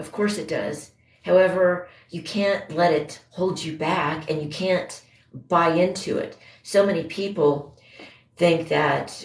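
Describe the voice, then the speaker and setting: A woman talks fairly slowly in a very deep, low voice. Her pitch variation is ordinary. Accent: American. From Indiana, US Midwest. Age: 50s. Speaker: livestreamer. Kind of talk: casual chat. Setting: livestream.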